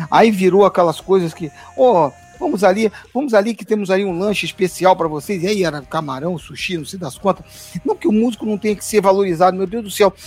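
A man speaks fairly quickly at a high pitch, with ordinary pitch variation and big swings in loudness. Music plays in the background. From Brasília, Brazil. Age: 50s. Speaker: gospel musician. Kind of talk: casual chat. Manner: halting.

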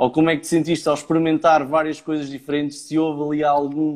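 The speech comes in a monotone, flat intonation, recorded very cleanly against a silent background. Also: man. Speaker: podcast host. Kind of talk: casual interview chat. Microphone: may be poor audio quality.

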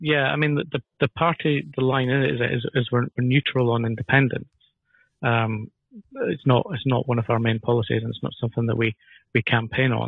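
This voice has a Scottish accent and ordinary pitch variation. It moves at a moderate pace. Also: man, medium pitch for a man. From northern Scotland (Elgin), family from Dundee. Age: 50s. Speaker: political party candidate. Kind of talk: interview.

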